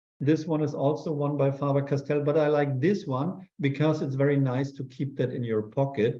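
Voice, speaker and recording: Hardly pausing, a man talks in a dark, mellow, somewhat breathy tone. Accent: German. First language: German. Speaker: urban sketch artist. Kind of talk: live demo Q&A. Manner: halting.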